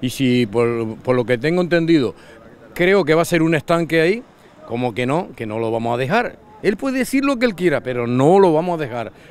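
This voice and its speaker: The man's fairly high voice makes very wide pitch swings, heard as dry sound with no echo. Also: fairly quick pace. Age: old. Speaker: local resident. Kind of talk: street interview. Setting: outdoors. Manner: agitated, halting. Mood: indignant, complaining. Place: beach. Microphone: handheld.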